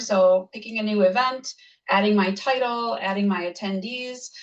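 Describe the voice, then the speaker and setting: A woman speaks with fairly high pitch and fairly even intonation. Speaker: software trainer. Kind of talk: tutorial. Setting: video call. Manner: fast.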